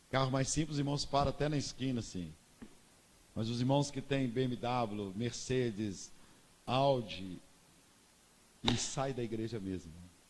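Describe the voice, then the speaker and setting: A man at medium pitch, fairly slow with long, frequent pauses and ordinary pitch variation, in a space with audible room echo. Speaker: pastor. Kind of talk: sermon.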